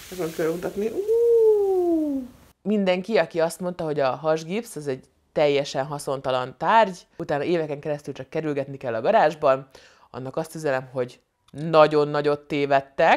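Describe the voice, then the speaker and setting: Over a quiet background, a woman with a very deep, low pitch speaks at a moderate pace in an animated tone. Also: ordinary pitch variation. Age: 30s. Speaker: comedian and vlogger; comedian vlogger. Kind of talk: casual vlog monologue. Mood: humorous, animated storytelling. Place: home room. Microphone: lapel.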